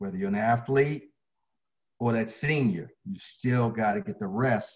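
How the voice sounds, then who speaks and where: Against a quiet background, a man with an American accent speaks fairly slowly at medium pitch, somewhat breathy, with very wide pitch swings. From Baltimore, Maryland. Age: 60s. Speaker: fitness trainer. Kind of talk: interview. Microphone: video call.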